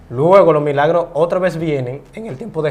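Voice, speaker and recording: A man's high voice at a fairly slow pace. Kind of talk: interview.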